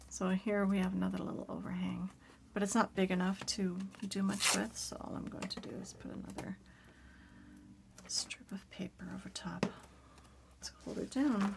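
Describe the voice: Whispering at a moderate pace, a woman sounds raspy with vocal fry.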